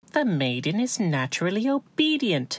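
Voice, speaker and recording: A female-sounding, put-on character voice speaks at a moderate pace with a fairly high pitch and very wide pitch swings. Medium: audio drama. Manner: firm, level.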